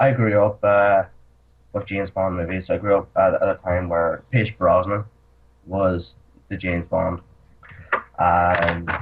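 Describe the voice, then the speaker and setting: A man with a Northern Irish accent speaks at a fairly slow pace in a very deep, low voice. His intonation is monotone and flat, broken by long, frequent pauses. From Northern Ireland. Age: 20s. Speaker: actor. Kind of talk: casual chat. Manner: halting.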